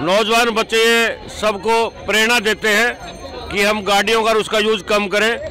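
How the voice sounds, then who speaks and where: A man's raised, projected voice, high-pitched for a man, monotone and flat, at very even loudness, with crowd noise in the background. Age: 60s. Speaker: event participant. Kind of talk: street interview.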